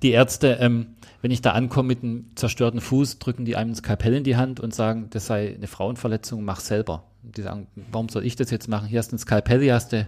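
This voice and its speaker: A man talks at a very fast pace with a Swabian accent. His medium-pitched voice stays monotone and flat. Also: very clean recording, silent background. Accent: Swabian, noticeable. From Swabia, southwest Germany. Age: 40s. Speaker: ultramarathon runner. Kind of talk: casual interview.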